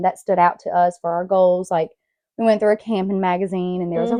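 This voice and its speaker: A woman speaks at a very fast pace with a medium pitch. Her intonation is monotone and flat, and her tone is dark and mellow. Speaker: podcast host.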